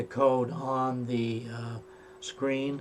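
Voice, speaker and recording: Over noticeable background noise, a man speaks at a medium pitch with monotone, flat intonation. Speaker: tutorial maker. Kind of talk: tutorial. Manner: halting, many fillers.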